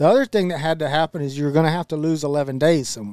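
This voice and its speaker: A man with a Texan accent, fairly high in pitch, dry and close with no echo, on a very clean recording with a silent background. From Central Texas. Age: 40s. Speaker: podcast co-host, land and wildlife manager. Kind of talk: casual chat.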